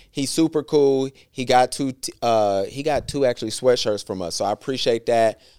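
A man in a normal speaking voice with an American accent, medium pitch, lively intonation and a moderate pace, on a very clean recording with a silent background, dry and close with no echo. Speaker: podcast host. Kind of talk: casual banter podcast. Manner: jokey, conversational.

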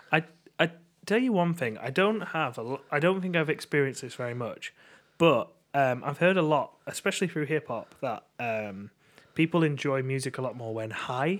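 In an ordinary speaking voice, a man talks at a moderate pace with fairly high pitch and lively intonation on a very clean recording with a silent background. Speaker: podcast co-host. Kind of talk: casual chat.

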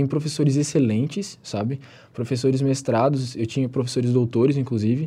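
A man's somewhat breathy, medium-pitched voice with a dark, mellow tone, at a moderate pace against a quiet background. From southern Santa Catarina, Brazil. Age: 20s. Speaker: pre-university student. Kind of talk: interview. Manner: casual, filler-heavy.

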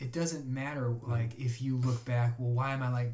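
A man with an American accent talks fairly quickly at a medium pitch, his intonation monotone and flat, with noticeable background noise behind him. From Chicago. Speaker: acupuncturist. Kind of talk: casual chat.

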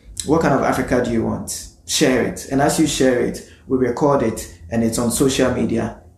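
Against noticeable background noise, a man of medium pitch talks at a moderate pace with fairly even intonation and hardly any pauses. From Ghana. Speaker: postgraduate student and urban planner. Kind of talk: casual interview.

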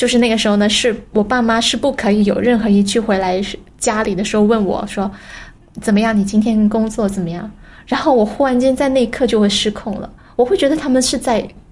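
This woman has a normal speaking voice at a fairly high pitch. She moves at a fairly quick pace with fairly even intonation. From Guangzhou, China. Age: 30s. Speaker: entrepreneur. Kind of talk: personal testimony.

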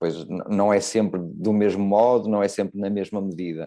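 A man with a fairly low pitch and a dark, mellow tone talks at a moderate pace. His intonation is fairly even, and the background is quiet. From Portugal. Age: 50s. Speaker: novelist and former journalist. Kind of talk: interview. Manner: halting, many repetitions.

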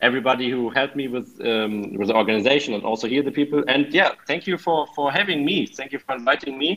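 With a German accent, a man speaks at a fairly quick pace, at medium pitch with ordinary pitch variation. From Germany, Hannover. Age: 20s. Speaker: exchange student. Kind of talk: interview. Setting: video call.

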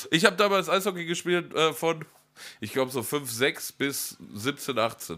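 A bright, sharp tone with lively intonation moves at a fairly slow pace. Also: man, fairly high pitch for a man. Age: 30s. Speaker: podcast co-host. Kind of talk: casual chat.

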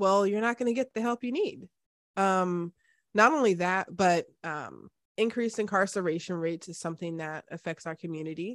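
A woman with a normal speaking voice talks at a moderate pace and medium pitch. The recording is very clean, dry and close, with no echo and a silent background. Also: ordinary pitch variation, big swings in loudness. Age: 30s. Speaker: podcast host and project manager. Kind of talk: interview conversation.

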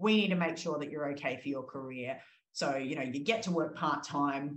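With an Australian accent, a woman talks at a moderate pace with lively intonation in a room with audible echo. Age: 30s. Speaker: exercise physiologist. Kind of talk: interview.

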